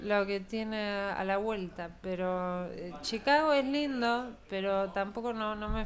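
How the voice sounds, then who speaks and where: A soft-spoken woman at a medium pitch, very slow in pace, with audible room echo. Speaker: blues singer. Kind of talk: casual chat.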